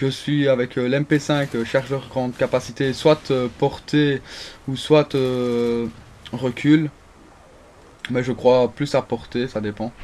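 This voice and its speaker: At a very slow pace, a man talks in a monotone, flat delivery at a medium pitch. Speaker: gaming video creator. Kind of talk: gameplay commentary. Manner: halting, many fillers and restarts.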